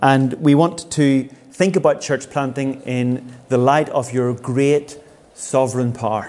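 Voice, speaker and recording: A man speaks at a very slow pace. His medium-pitched voice keeps a fairly even intonation. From Northern Ireland, Belfast. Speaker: pastor and church planter. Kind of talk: seminar talk with interpreter. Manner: pausing for consecutive interpretation.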